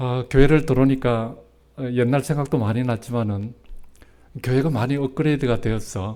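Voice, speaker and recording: Here a man speaks with a dark, mellow tone at medium pitch. His pace is moderate and his pitch varies in an ordinary way. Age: 60s. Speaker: retired pastor. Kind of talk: sermon. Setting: church. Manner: halting, many fillers.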